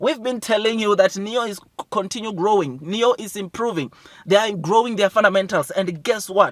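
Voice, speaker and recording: A man speaks loudly and in a high pitch, with an animated tone at a moderate pace. The sound is dry and close, with no echo. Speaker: stock market YouTuber. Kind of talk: investment news commentary.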